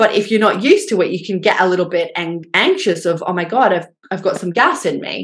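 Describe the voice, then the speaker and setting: At a fairly quick clip, this woman talks in an Australian accent. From rural Australia. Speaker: dietitian and gut health researcher. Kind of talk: interview.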